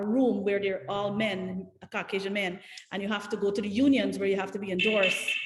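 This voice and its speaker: A woman's medium-pitched voice in a Guyanese accent, fairly quick and monotone with flat intonation, amid audible room echo and noticeable background noise. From Guyana. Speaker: political candidate. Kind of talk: panel discussion. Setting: video call.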